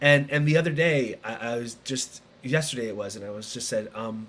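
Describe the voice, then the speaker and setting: Lively intonation marks this man's medium-pitched voice, delivered at a moderate pace. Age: 40s. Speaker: podcast host. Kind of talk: casual interview. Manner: halting, many restarts.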